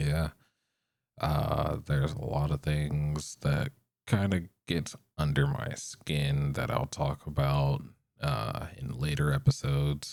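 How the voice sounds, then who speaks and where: A man speaks very slowly with a very deep, low pitch. His intonation stays fairly even. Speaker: podcast host. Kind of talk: casual solo podcast monologue. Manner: monotone; halting, stumbles over words.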